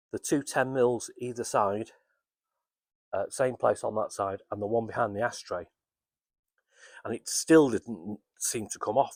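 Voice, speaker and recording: A man with a British accent mumbles at medium pitch and a fairly slow pace, with long, frequent pauses and ordinary pitch variation. The recording is very clean with a silent background and a dry, close sound with no echo. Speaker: amateur car restorer. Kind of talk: casual workshop walkaround to camera. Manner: hesitant, mumbling.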